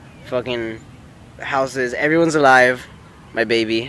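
A man with a fairly bright tone at medium pitch, speaking at a fairly slow pace

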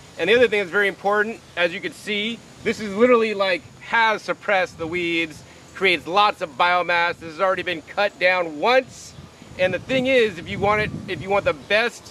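A man projects a raised voice at a moderate pace, with ordinary pitch variation. The sound is dry with no echo, over light background noise. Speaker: gardening video host. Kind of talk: casual outdoor tutorial talk.

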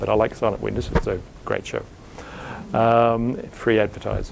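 A man talks with a fairly low pitch. Light background noise can be heard. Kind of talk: lecture. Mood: wry, lightly humorous. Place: hall. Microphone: lapel.

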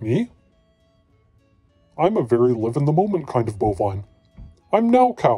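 A man's cartoonish character voice at a medium pitch, broken by long, frequent pauses over faint music in the background. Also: moderate pace.

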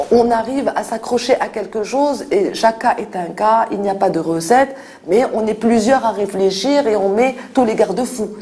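The delivery keeps a moderate pace. Its pitch moves up and down in an ordinary way. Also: woman. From Morocco, Fès. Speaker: NGO director for street children. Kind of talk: interview. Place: office.

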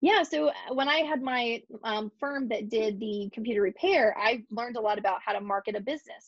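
In an American accent, a woman speaks with ordinary pitch variation, the sound dry with no echo and the background quiet. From Ohio, Cincinnati. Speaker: marketing business owner. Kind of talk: casual interview chat. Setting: video call. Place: home room. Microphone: video call.

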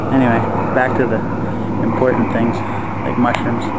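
A man speaks over noticeable background noise, his voice dry with no echo. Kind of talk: casual vlog chat. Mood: proud, joking. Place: waterside. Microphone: phone near.

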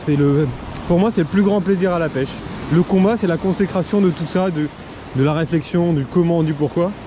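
A man's high voice with ordinary pitch variation, a dry sound with no echo and noticeable background noise. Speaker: shore angler vlogger. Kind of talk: casual vlog chat. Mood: passionate, reflective. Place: beach. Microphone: phone near.

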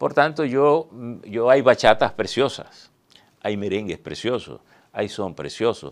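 A man with vocal fry speaks at a fairly slow pace and with lively intonation. The background is quiet. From Dominican Republic, northwest line (Montecristi); Dominican Republic. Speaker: veteran journalist and newspaper director; interview guest, journalist. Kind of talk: interview. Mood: calm, reflective. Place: studio. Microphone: lapel.

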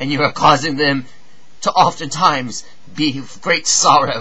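Ordinary pitch variation from a male speaker. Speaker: actor. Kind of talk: dramatic monologue. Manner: impassioned, pleading. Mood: anguished, pleading. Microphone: webcam.

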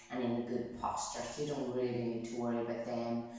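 A woman is speaking. Strong room echo surrounds her voice. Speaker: physiotherapist yoga instructor. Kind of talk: tutorial. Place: home room. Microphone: camera far.

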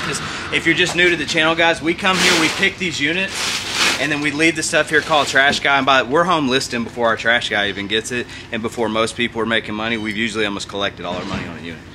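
A man speaks at a very fast pace with very wide pitch swings. Noticeable background noise runs behind him. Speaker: storage unit reseller. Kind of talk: casual vlog chat. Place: garage.

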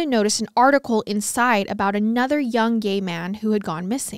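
A woman speaks in a serious tone at a moderate pace with ordinary pitch variation, against a quiet background with dry, echo-free sound. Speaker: true crime podcast host. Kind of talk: true-crime narration, read aloud from case notes in a steady storytelling voice. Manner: serious, even-paced, measured storytelling. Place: studio. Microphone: studio mic.

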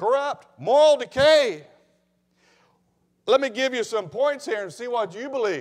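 With lively intonation, a man speaks at an extremely high pitch and a fairly slow pace.

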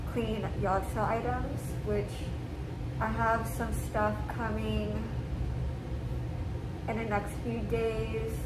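A woman talks very slowly as loud background noise surrounds her. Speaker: cleaning vlogger. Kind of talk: casual vlog chat. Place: home room. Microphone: camera far.

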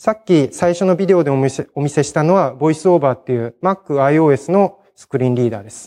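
A man speaks at a fairly quick pace with hardly any pauses, his dark, mellow voice sitting fairly high in pitch, with ordinary pitch variation and big swings in loudness over a quiet background. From Hiroshima, Japan; Japan. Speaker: conference speaker, programmer; conference speaker. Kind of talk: technical conference talk; conference talk. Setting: stage with audience. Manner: hesitant, many fillers. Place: hall. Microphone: podium.

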